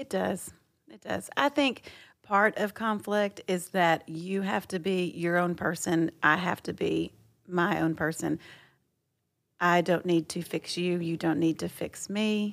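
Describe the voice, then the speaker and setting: In a very clean recording with a silent background, a woman with an American accent speaks fairly slowly at a fairly low pitch. Hers is a normal speaking voice with ordinary pitch variation. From Texas. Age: 40s. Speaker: host's wife. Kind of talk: casual chat.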